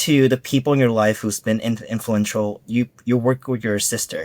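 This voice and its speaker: A man speaks at a fairly slow pace with a medium pitch and ordinary pitch variation. The recording is very clean with a silent background, and the sound is dry and close with no echo. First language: not English. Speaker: podcast host. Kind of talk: podcast interview. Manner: halting, repeats words.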